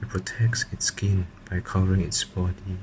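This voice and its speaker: Against noticeable background noise, a man with a very deep, low voice speaks at a fairly slow pace. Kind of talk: ASMR card unboxing. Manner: whispered.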